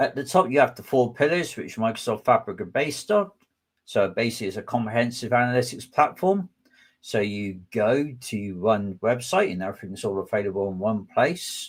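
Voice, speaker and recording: Talking at a fairly quick pace with a West Country accent, a man at medium pitch swings his voice very widely up and down. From southwest England. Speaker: data engineering manager and tech speaker. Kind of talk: webinar presentation. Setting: online webinar.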